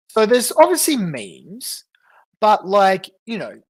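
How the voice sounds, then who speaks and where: A fairly slow speaker with an Australian accent, recorded very cleanly against a silent background. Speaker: livestreamer. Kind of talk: livestream commentary. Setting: livestream, off camera. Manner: casual, halting.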